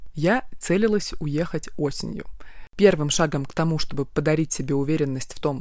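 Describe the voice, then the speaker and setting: A woman with a very deep, low pitch talks moderately fast, varying her pitch in an ordinary way. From Siberia, Krasnoyarsk. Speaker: podcast host, travel blogger. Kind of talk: personal travel diary monologue.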